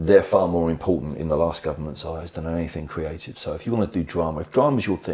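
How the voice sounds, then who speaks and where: Someone with an English accent talks at a very fast pace. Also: man. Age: 60s. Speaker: education association chief executive, former head teacher. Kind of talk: podcast interview.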